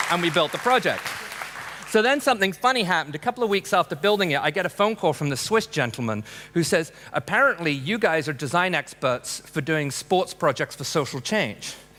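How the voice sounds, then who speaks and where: Over noticeable background noise, a man with an American accent talks at a fairly quick pace in a high voice that makes very wide pitch swings. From England, Peckham (south London). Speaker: architect and humanitarian designer. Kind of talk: conference talk. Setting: stage with audience. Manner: casual, conversational with frequent fillers.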